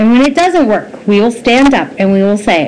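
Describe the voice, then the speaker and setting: Noticeable background noise sits behind a woman speaking in a high pitch. Her tone is animated and her intonation lively. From Nova Scotia, Canada. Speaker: vlogger. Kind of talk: opinion commentary monologue.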